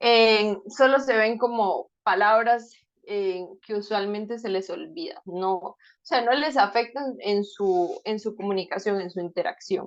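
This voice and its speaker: Speaking at a fairly slow pace, a woman uses a normal speaking voice with a fairly high pitch and ordinary pitch variation. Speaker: speech-language therapist giving a talk. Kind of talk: lecture.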